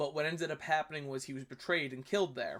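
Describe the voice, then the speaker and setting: On a very clean recording with a silent background, a man with a New York accent talks with ordinary pitch variation. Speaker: history YouTuber reviewing videos. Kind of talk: casual commentary review. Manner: hesitant, many fillers.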